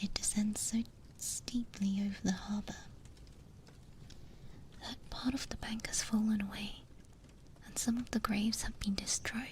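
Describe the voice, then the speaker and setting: Whispering at a fairly slow pace, a woman leaves long, frequent pauses. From Britain. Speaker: VTuber. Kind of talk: sleep story reading. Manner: soft-spoken.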